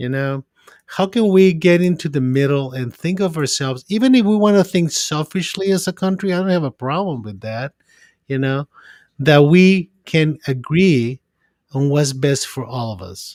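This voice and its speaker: A man with a non-native accent, fairly high pitch, lively intonation and moderate pace, in a dry, close sound with no echo. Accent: foreign. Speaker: psychiatrist. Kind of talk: podcast discussion. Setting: remote call from his office. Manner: halting, repeats words.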